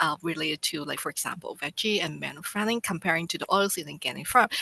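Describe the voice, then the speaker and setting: A woman's bright, sharp voice with ordinary pitch variation, dry and close with no echo. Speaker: government statistics presenter. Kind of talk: webinar presentation. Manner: halting.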